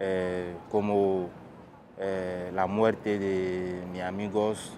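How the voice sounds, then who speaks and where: Over noticeable background noise, a man with a very deep, low pitch speaks at a very slow pace in a monotone with flat intonation. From Guinea. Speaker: refugee. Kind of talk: testimony. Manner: halting, many fillers and repetitions. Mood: serious, reflective. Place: waterside.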